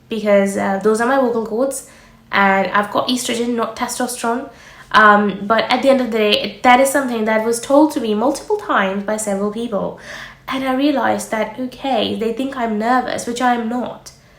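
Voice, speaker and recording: The speech comes at a fairly quick pace with fairly even intonation. Audible room echo and noticeable background noise are present. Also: woman, fairly high pitch for a woman. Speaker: doctor and medical careers youtuber. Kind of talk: advice vlog. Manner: fast-paced.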